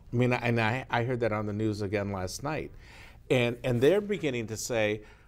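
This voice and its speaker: A man talks at a moderate pace in an ordinary speaking voice. His pitch is medium, with ordinary pitch variation. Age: 60s. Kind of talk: panel discussion on TV talk show.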